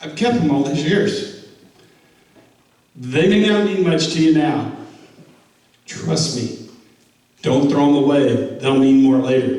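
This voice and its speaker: This man talks at a very slow pace with long, frequent pauses, his fairly high pitch rising and falling in lively intonation, and the room echo is audible. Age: 70s. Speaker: war veteran and team speaker. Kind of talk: motivational talk to a football team. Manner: halting.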